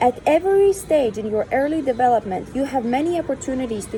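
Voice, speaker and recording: Amid noticeable background noise, a woman speaks at a moderate pace with lively intonation. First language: not English. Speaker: reader of spiritual texts. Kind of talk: reading aloud.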